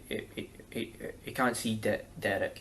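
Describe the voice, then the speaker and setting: Here a man speaks with a Scottish accent. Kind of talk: interview answer.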